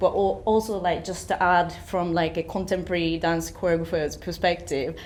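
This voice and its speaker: A woman's fairly low voice, monotone and flat, at a moderate pace over noticeable background noise. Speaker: movement director and choreographer. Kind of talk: panel discussion. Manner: hesitant, many fillers.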